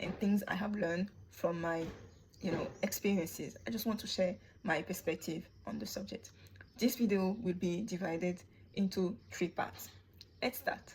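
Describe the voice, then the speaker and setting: A woman's somewhat breathy voice holds fairly even intonation. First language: not English. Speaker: YouTuber commentator. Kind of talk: opinion monologue.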